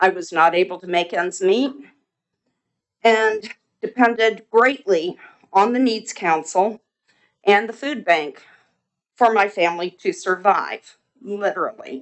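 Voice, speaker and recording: Speaking at a fairly slow pace, a woman leaves long, frequent pauses, and her pitch varies in an ordinary way. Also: medium pitch for a woman. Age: 60s. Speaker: resident speaking at public comment. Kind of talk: public comment at council meeting. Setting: city council meeting.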